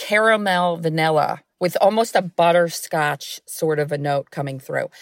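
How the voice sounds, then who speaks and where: An ordinary speaking voice with an American accent moves at a fairly slow pace with ordinary pitch variation, recorded very cleanly against a silent background, the sound dry and close with no echo. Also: woman. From New York. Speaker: company founder. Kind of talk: interview.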